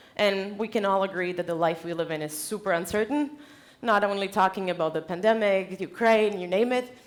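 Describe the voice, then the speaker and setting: Speaking with a Czech accent, a woman keeps a fairly quick pace. Her voice sits at medium pitch with ordinary pitch variation. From Czech Republic. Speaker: conference speaker, company founder. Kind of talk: keynote talk. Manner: animated.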